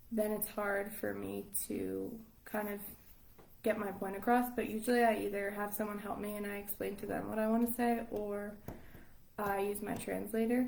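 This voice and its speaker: Moderate pace with an American accent, monotone, flat intonation and audible room echo. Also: woman, medium pitch for a woman. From Long Island, New York. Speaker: English teacher abroad. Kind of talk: casual interview chat. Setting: live stream.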